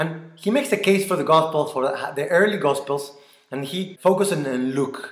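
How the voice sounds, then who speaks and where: The speaker has a Mexican accent and lively intonation at a moderate pace. The background is quiet, with audible room echo. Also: man. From Mexico. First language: Spanish. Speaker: church member. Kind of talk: apologetics talk. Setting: recorded video. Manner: earnest. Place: home room. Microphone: webcam.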